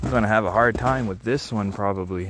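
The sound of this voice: A man speaks with a fairly low pitch. His tone is fairly bright.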